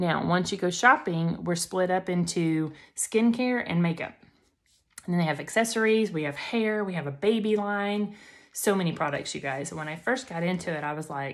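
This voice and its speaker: On a very clean recording with a silent background, a woman with a Southern US accent speaks in an animated tone at a fairly low pitch with ordinary pitch variation. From Alabama, US South. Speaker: makeup seller and beauty influencer. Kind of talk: tutorial. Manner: fast.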